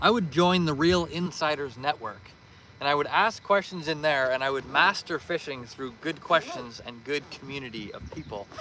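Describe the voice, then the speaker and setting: A man at a fairly quick pace and fairly high pitch, a plain, everyday voice. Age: 20s. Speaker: fishing streamer. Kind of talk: live stream chat. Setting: outdoors. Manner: casual.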